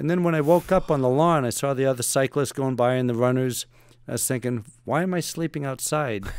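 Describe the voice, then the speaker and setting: A plain, everyday voice from a man, medium in pitch, fairly quick, with ordinary pitch variation. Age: 60s. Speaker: retired navy special forces operator and author. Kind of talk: podcast interview storytelling.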